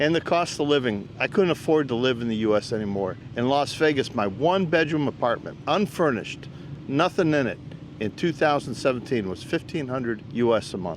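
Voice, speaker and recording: Noticeable background noise sits behind a man speaking. He talks at a fairly quick pace with lively intonation. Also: medium pitch for a man. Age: 70s. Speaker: retired expat YouTuber. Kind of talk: casual interview. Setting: outdoors in the sun. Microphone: shared mic, mic issues.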